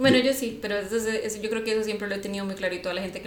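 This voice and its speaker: In a Costa Rican accent, a woman speaks at a very fast pace in a medium pitch with ordinary pitch variation. Noticeable background noise and audible room echo fill the recording. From Costa Rica, San José. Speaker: podcast co-host. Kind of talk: casual chat.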